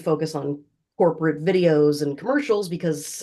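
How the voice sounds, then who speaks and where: A woman's very deep, low voice with a dark, mellow tone, an American accent and a moderate pace. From Florida. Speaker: voiceover artist. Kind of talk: casual interview answer. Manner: conversational, upbeat.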